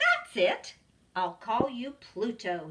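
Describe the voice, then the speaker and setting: This female-sounding voice is a put-on character voice at a fairly high pitch. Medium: read story. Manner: friendly, upbeat.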